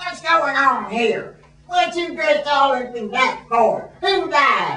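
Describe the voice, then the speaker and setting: Put-on character voice from a woman, high-pitched with lively intonation and a slight echo. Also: fairly slow pace. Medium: audio drama. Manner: cantankerous, stubborn.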